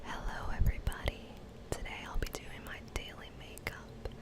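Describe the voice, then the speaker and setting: A woman's whisper against noticeable background noise. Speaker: ASMR / beauty YouTuber. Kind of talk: ASMR whispered makeup tutorial. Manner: whispered, soft-spoken, relaxing.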